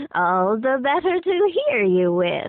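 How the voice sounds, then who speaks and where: A woman performs a put-on character voice at a high pitch. Her pitch swings very widely at a fairly slow pace. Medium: read story. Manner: sly, sweetly coaxing.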